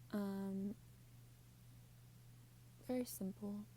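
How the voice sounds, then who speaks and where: The woman's voice sits at a medium pitch with a dark, mellow tone. It is somewhat breathy, with ordinary pitch variation. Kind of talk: ASMR show and tell. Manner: soft-spoken; casual, chatty.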